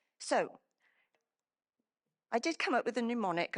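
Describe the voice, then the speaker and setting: In a Welsh accent, a woman talks at a moderate pace against a quiet background. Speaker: emergency planning professional. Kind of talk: conference presentation. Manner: halting, many fillers and restarts.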